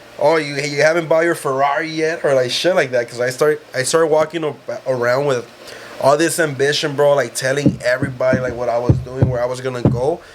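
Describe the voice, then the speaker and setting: A man with an American accent talks at a fairly quick pace in a fairly high voice. His intonation stays fairly even, with music playing in the background. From South Central Los Angeles. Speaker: life insurance salesman. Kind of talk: casual chat.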